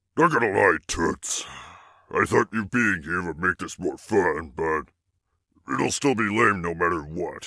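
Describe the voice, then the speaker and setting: A man's cartoonish character voice, very deep and low, with lively intonation, long, frequent pauses and a dry, close sound free of echo. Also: moderate pace. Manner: gruff, mocking, casual.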